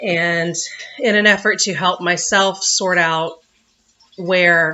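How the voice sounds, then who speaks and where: Using an American accent, a woman talks at a very slow pace in a fairly low pitch with fairly even intonation. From US South. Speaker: vlogger. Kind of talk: personal vlog. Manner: words run together.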